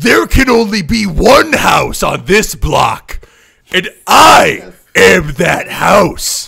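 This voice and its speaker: A man puts on a raspy, high character voice. He drags it out at a very slow pace. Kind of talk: wrestling promo. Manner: boastful, challenging.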